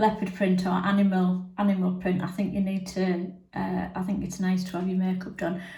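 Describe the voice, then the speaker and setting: In an English accent, a woman speaks at a medium pitch in a flat monotone with hardly any pauses, and room echo is audible. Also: moderate pace. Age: 60s. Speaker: makeup reviewer. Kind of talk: product review. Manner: casual with many fillers.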